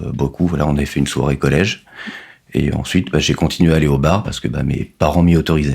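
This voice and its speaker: A man talks at a very fast pace in a very deep, low pitch. His intonation stays fairly even. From Normandy, France. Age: 30s. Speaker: finance worker, recovering addict. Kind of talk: testimony interview. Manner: hesitant, many fillers.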